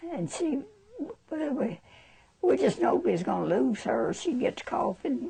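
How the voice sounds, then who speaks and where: A woman with a high voice and an American accent speaks at a fairly slow pace, with very wide pitch swings. Noticeable background noise is heard. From Alabama, US South. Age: 80s+. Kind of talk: interview answer.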